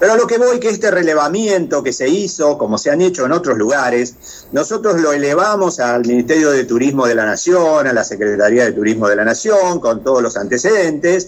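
A fairly high-pitched man's voice with very wide pitch swings, very even loudness and hardly any pauses, against noticeable background noise. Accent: Rioplatense. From Argentina, La Pampa province. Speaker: tourism chamber vice president. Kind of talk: interview.

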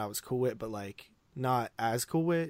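An ordinary speaking voice from a man at medium pitch, lively in intonation, with a dry, close sound and no echo. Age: 20s. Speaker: podcast host. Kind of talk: casual chat.

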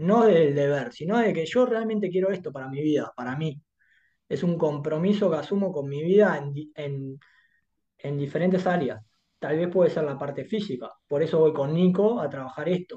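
At a moderate pace, a man with a fairly high pitch, ordinary pitch variation and a dark, mellow tone speaks against a quiet background. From Uruguay, Montevideo. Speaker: life coach, HR professional. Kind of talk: interview conversation.

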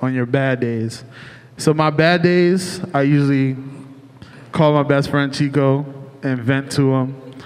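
Noticeable background noise sits behind a man with an American accent and a fairly high pitch. He talks at a very slow pace with fairly even intonation. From Cleveland, Ohio. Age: 30s. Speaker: restaurant owner. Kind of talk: live panel discussion. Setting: stage with audience.

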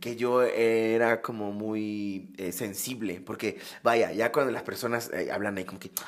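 This man speaks at a medium pitch with fairly even intonation and hardly any pauses, his loudness swinging widely. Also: fairly slow pace. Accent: Acapulco. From Mexico, Acapulco (Guerrero coast). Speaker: podcast co-host. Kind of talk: casual chat.

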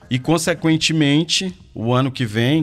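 A man speaks with music in the background. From Porto Velho, Rondônia, northern Brazil. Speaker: ride-hailing app owner. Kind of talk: radio interview.

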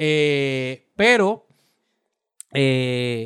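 Recorded dry and close with no echo, a man speaks with ordinary pitch variation. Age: 50s. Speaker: political podcast co-host. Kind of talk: political commentary chat.

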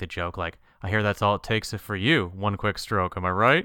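Speaking at a fairly quick pace, a man uses a fairly low voice with a bright, sharp tone. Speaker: podcast co-host. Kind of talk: casual chat. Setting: remote recording.

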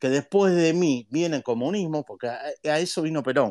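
A man with a fairly high pitch and lively intonation. He talks at a moderate pace against a quiet background. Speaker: economist, university professor. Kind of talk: online talk with Q&A. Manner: long-winded, talks at length.

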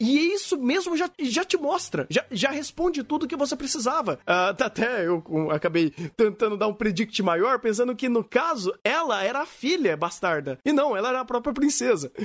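A man with an extremely high pitch, very wide pitch swings and a fairly quick pace. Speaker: podcast host. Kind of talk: casual chat. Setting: live stream.

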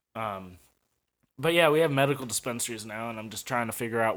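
A man's normal speaking voice with an American accent, medium pitch and a fairly quick pace, on a very clean recording over a silent background. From St. Louis, Missouri, US. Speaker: podcast host. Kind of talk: casual solo monologue. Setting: apartment kitchen/dining room.

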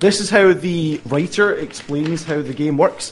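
Noticeable background noise sits behind a man with a high pitch. He talks at a moderate pace with ordinary pitch variation. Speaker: gaming show host. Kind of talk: casual chat.

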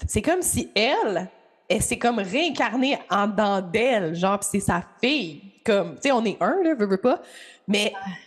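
In a Quebec accent, a woman talks at a fairly slow pace, her medium pitch moving in very wide swings. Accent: Québécois French. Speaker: podcast host and astrologer. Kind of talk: casual interview chat. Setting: remote call with guest.

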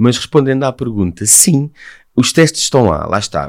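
A man's moderate-paced speech, captured in a very clean recording against a silent background. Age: 40s. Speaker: humanitarian NGO director. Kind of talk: interview.

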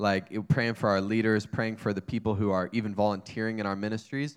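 Recorded very cleanly against a silent background, a man with a normal speaking voice talks at a fairly low pitch with fairly even intonation. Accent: American. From US South, North Carolina. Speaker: church student ministries director. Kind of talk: casual chat. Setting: livestream.

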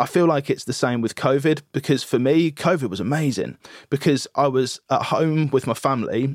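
A man with a British accent speaks in a dry, close sound with no echo. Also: very clean recording, silent background. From UK. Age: 30s. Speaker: audio engineer. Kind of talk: interview.

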